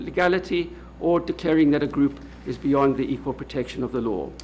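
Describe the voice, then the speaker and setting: Speaking at a moderate pace with vocal fry, a man talks in a South African accent. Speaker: law professor. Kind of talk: lecture. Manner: halting, with frequent uh.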